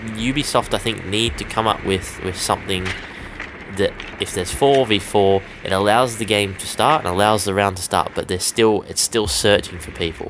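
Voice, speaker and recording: A man talks at a moderate pace with a fairly low pitch. Noticeable noise sits in the background. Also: ordinary pitch variation. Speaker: gaming YouTuber. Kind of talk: gameplay commentary. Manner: casual.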